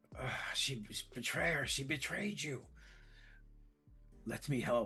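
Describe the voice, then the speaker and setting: A man whispers in a raspy, put-on character voice at a fairly slow pace, with music in the background. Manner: whispering, tempting.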